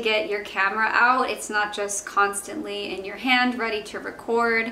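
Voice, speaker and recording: A woman at a moderate pace, her intonation fairly even, with audible room echo and light background noise. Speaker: vlogger. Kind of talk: casual vlog chat. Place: home room.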